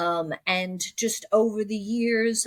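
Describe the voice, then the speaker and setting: In a New York accent, the speaker uses ordinary pitch variation, and the sound is dry and close with no echo. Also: woman. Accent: American (New York). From US Northeast, Long Island, New York. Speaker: technology executive. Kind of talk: podcast interview.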